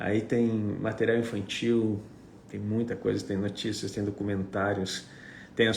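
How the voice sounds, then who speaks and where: In a room with audible echo, a man with a Gaúcho Brazilian accent speaks fairly slowly in a fairly low, somewhat breathy, monotone, flat voice. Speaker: apostle / preacher. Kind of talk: livestream chat before teaching.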